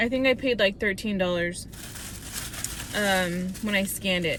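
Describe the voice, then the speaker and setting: At a moderate pace and with ordinary pitch variation, a woman talks against noticeable background noise. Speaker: hairstylist and lifestyle vlogger. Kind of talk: casual vlog haul. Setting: in a car in a parking lot. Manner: quiet, hushed.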